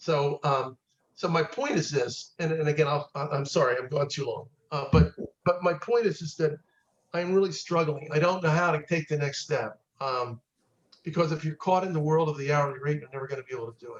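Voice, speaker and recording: The speaker is somewhat breathy, moving at a fairly quick pace with big swings in loudness. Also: man, fairly high pitch for a man, ordinary pitch variation. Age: 70s. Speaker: estate planning attorney. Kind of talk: group discussion. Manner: halting, repetitive.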